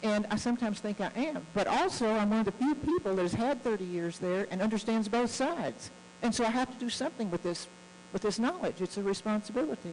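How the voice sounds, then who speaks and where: Over noticeable background noise, a woman with an American accent talks at a very fast pace in an animated tone, with fairly high pitch, lively intonation and very even loudness. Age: 70s. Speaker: guest speaker on US-Russia relations. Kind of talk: speech to club audience. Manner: earnest, animated.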